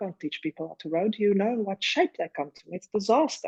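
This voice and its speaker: A woman with a South African accent, fairly quick and lively in intonation, in a dry, close sound with no echo. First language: Afrikaans. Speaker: rowing coach and former Olympic rower. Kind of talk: casual chat. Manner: animated.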